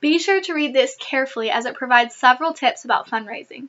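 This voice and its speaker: A woman talks at a fairly quick pace with a high pitch. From US Midwest, Michigan. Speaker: former mission trip intern and volunteer. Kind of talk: scripted informational talk. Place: home room. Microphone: webcam.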